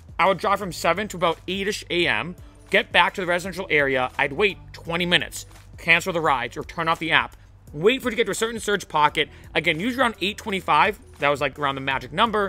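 Very fast male speech at a high pitch, ordinary pitch variation, dry sound with no echo, and faint music in the background. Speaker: rideshare driver vlogger. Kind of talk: casual vlog advice. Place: garden. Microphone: studio mic.

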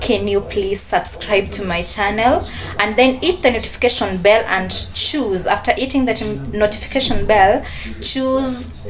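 A woman's voice with ordinary pitch variation over noticeable background noise. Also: moderate pace. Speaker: student vlogger. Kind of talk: casual vlog chat. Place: home room. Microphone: phone near.

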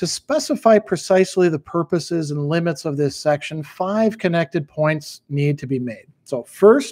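His pitch shifts in an ordinary way as the man talks at a moderate pace. Behind him the background stays quiet. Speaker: philosophy teacher. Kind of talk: reading aloud from own book. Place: home room.

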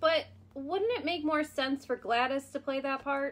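A female-sounding voice puts on a cartoonish character voice at a high pitch. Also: moderate pace. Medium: puppet.

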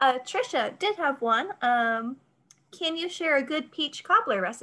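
Raising and projecting her high voice, a woman speaks at a fairly slow pace with very wide pitch swings and a bright, sharp tone. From North Carolina. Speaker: library event moderator. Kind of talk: moderated Q&A. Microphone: video call.

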